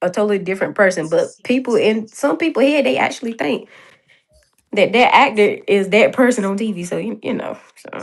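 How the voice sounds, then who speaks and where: This woman has a fairly high pitch and a North Carolina accent. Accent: Southern US, North Carolina. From North Carolina, US South. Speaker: series writer and director. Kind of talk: casual chat.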